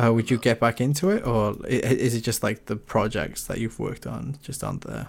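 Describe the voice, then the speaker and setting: Talking at a fairly quick pace with hardly any pauses, a man uses a medium pitch, ordinary pitch variation and vocal fry. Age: 20s. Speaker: podcast host. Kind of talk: casual chat. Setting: online voice call.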